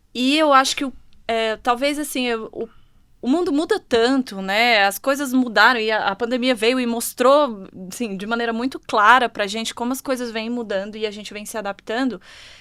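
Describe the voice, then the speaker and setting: A woman speaks in a Brasília accent at a fairly high pitch. Her tone is bright and sharp, and her pace is moderate. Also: ordinary pitch variation, very clean recording, silent background. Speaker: HR manager. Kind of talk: panel discussion.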